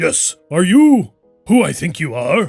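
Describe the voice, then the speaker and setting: Faint music plays behind a man doing a put-on character voice, raspy and high-pitched. He moves at a fairly slow pace with very wide pitch swings. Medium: actual play. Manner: excitable, theatrical.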